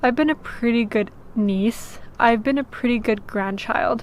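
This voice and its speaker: This woman has a normal speaking voice, pitched fairly high, with ordinary pitch variation. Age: 20s. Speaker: vlogger. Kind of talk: personal vlog testimony. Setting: on a sailboat. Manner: casual, many filler ums.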